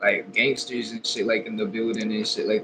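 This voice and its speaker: Noticeable background noise behind a man with an American accent, talking at a fairly quick pace. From Texas. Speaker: rapper. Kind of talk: interview.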